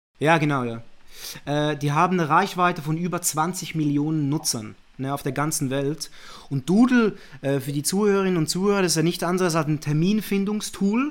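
At a moderate pace, a man speaks in a fairly high pitch with ordinary pitch variation in a very clean recording with a silent background. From Zurich, Switzerland. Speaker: managing director, media and innovation manager. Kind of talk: casual interview chat.

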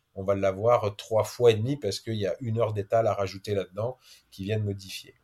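A man speaks in a somewhat breathy, monotone voice with flat intonation. The recording is very clean, the background silent. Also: fairly low pitch for a man. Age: 30s. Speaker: adventurer, explorer. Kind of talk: interview, casual storytelling. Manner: hesitant, repeats words.

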